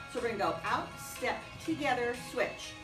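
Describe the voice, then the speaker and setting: Over clear music in the background, a woman speaks at a high pitch. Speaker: exercise instructor. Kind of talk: fitness class instruction. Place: gym. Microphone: camera far.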